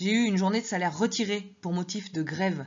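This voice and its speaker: Somewhat breathy, a woman speaks at a moderate pace. Her pitch variation is ordinary. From southwest France. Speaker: teacher reading her memoir. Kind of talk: reading aloud.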